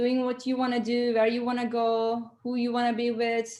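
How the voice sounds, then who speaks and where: With a non-native accent, a woman speaks at a moderate pace in a high voice that has a dark, mellow tone. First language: not English. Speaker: entrepreneur and consultant. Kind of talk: interview. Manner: halting, many fillers.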